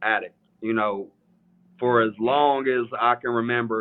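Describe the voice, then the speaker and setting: With an East Tennessee accent, a man speaks at a medium pitch in a monotone, flat intonation. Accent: US Southern (East Tennessee). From Eastern Tennessee (Morristown, near Knoxville). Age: 30s. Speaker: sneaker reseller, store owner. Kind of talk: casual interview on livestream. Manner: halting, many fillers.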